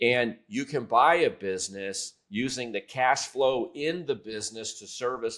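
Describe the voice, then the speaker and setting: A man with a plain, everyday voice at medium pitch, talking at a fairly slow pace on a very clean recording with a silent background. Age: 60s. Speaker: private equity expert. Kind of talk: podcast interview.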